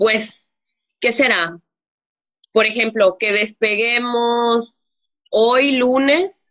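A woman speaks at a fairly high pitch. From Mexico. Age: 20s. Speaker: flight attendant. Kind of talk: interview.

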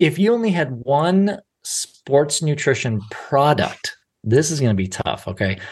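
A somewhat breathy man's voice, fairly high in pitch, with very wide pitch swings against a quiet background. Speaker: podcast host and dietitian. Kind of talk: interview.

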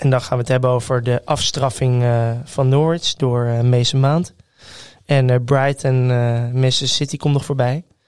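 The speaker talks at a fairly slow pace with a very even loudness. The intonation stays flat and monotone. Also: man, medium pitch for a man. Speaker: football podcast co-host. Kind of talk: casual chat. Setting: studio.

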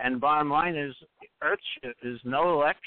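Here is a man with a plain, everyday voice and a fairly high pitch. He talks at a fairly slow pace with lively intonation. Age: 60s. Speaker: earthship advocate. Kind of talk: call-in interview. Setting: phone call.

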